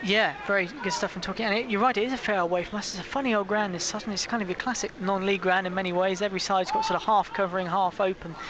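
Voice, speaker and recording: Over noticeable background noise, a man talks very fast with hardly any pauses. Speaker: football summariser, club fan. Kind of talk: radio match summary.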